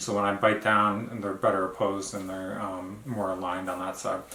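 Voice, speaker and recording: A man talks at a fairly quick pace in a fairly low pitch. Audible room echo and noticeable background noise fill the recording. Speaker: vlogger. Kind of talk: casual video diary. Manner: halting, many fillers.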